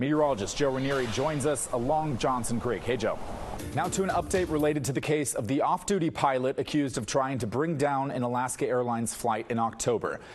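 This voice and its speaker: With music in the background, a man with a fairly high pitch speaks at a fairly quick pace with ordinary pitch variation. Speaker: TV news anchor and investigative reporter. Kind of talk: TV news anchoring.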